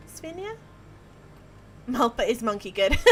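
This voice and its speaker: A woman delivers her words at a moderate pace in an Australian accent. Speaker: video game streamer. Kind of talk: live stream commentary while gaming. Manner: animated.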